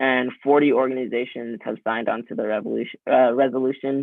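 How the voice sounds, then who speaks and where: A man with an ordinary speaking voice keeps a moderate pace and medium pitch, his intonation fairly even. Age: 20s. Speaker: youth climate activist, lawsuit plaintiff. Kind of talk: guest lecture. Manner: casual, many filler ums.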